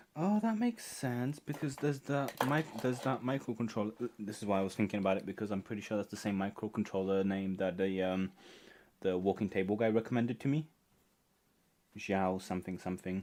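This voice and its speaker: Over a silent background in a very clean recording, a man with a non-native accent talks at a fairly quick pace, his fairly low pitch showing ordinary variation. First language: not English. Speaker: maker livestreamer. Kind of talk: casual chat. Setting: live stream.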